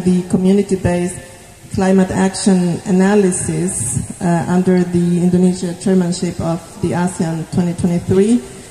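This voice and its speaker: A woman speaks at a fairly slow pace with fairly even intonation and a medium pitch, with music playing in the background. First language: not Indonesian (speaking Indonesian). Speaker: development agency manager. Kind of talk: formal speech at site visit. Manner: halting, many fillers.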